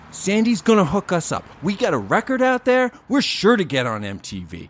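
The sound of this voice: A man performs a put-on character voice pitched high. His pitch swings very widely at a moderate pace.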